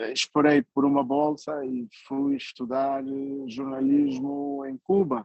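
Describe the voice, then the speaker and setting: At a very slow pace but with hardly any pauses, a man speaks in a fairly high pitch with monotone, flat intonation. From Angola, Uíge province. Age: 60s. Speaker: writer and journalist. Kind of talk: conference talk. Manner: hesitant, many fillers.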